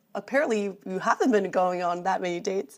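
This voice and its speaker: A woman talks at a moderate pace in a fairly high pitch. Her tone is animated, with very wide pitch swings. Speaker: podcast co-host. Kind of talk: casual chat. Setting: studio.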